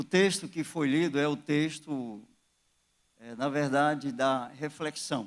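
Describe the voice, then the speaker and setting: Pitched fairly high, a man talks at a very slow pace. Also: ordinary pitch variation. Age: 60s. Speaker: pastor. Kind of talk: sermon. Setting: church.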